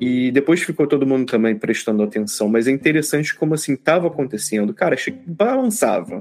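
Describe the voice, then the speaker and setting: A man speaks at a fairly quick pace with a fairly high pitch, lively intonation and very even loudness. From Brazil, Rio de Janeiro. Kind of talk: casual chat.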